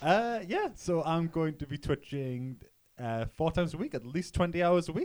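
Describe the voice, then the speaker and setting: This man speaks in a Geordie accent with a high pitch. His intonation is lively. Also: moderate pace. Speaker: news presenter and poker player. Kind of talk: news reading.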